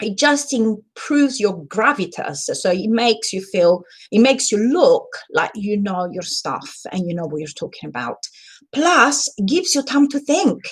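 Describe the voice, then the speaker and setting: With an Italian accent, the speaker is somewhat breathy and talks at a moderate pace. Pitch swings very wide and loudness varies greatly. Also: woman, fairly high pitch for a woman. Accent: Italian accent, noticeable. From Italy. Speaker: communication trainer and book club host. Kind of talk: live stream talk / training. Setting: live stream. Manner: animated.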